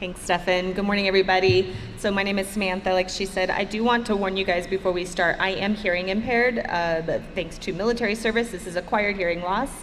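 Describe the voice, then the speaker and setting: A woman at medium pitch, very fast and with hardly any pauses, fairly even intonation, and music in the background. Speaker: aerospace engineer and Air Force veteran. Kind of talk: conference panel talk. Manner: halting.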